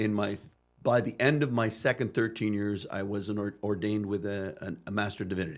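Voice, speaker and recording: Using an ordinary speaking voice, a man with a Canadian accent speaks at a fairly low pitch with fairly even intonation. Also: fairly quick pace. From Canada, Chatham, Ontario (English immigrant household). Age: 60s. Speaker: pastor turned missionary teacher. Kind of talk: podcast interview.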